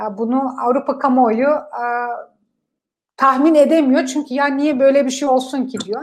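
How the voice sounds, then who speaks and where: A high-pitched woman at a fairly slow pace with fairly even intonation. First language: Kurdish and German (speaking Turkish). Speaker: politician. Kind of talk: interview. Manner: hesitant, many filler sounds.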